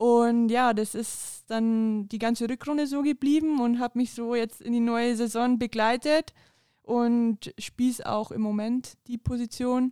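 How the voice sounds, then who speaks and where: Very slowly, a woman speaks at a high pitch. The recording is very clean with a silent background, dry and close with no echo. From Bavaria, Upper Palatinate. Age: 20s. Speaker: women's football player and police trainee. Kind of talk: casual interview. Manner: laughing often.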